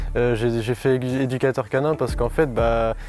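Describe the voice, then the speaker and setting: Music plays in the background as a man talks at a moderate pace and a medium pitch. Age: young. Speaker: game show contestant. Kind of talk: self-introduction. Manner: halting.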